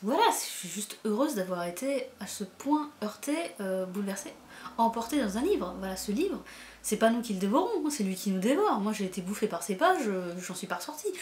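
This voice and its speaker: Somewhat breathy and fairly high-pitched, a woman speaks with lively intonation at a moderate pace. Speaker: booktuber, book reviewer. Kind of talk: casual book review vlog. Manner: animated, hesitant with many fillers and repetitions.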